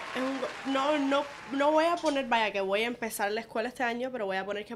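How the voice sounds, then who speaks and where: This woman speaks fairly quickly, her pitch varying in an ordinary way. Behind her, background noise is noticeable. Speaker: podcast co-host, therapy services. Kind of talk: casual chat. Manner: code-switching Spanglish.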